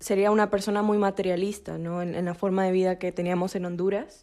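A woman's monotone, flat intonation. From Peru. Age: 20s. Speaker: university student, missionaries' daughter. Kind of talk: testimony.

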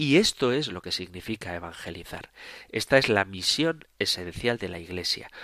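Calm in tone yet lively in intonation, a man speaks with a bright, sharp tone at a fairly low pitch. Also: moderate pace. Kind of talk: radio catechesis lecture. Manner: calm, explanatory.

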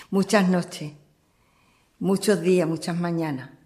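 Somewhat breathy and fairly low in pitch, a woman speaks with fairly even intonation. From Andalusia, Cádiz province. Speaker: churchgoer giving testimony. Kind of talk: testimony interview.

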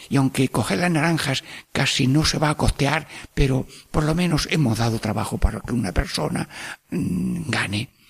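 The intonation is lively and the pace moderate. Noticeable background noise sits behind the voice. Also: man, medium pitch for a man. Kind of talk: radio catechesis talk. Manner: warm, animated.

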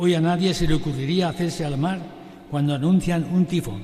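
Noticeable background noise and audible room echo surround the speaker. He is a man with a high pitch. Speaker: priest and retired missionary. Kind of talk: sermon. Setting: sanctuary with congregation, broadcast on radio.

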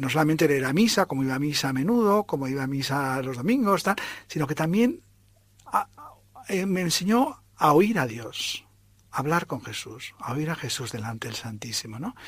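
Very wide pitch swings mark this man's fairly high-pitched speech. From Spain. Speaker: priest. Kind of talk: testimony.

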